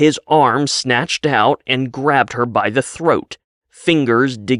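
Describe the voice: Plain reading aloud with fairly even intonation, over a quiet background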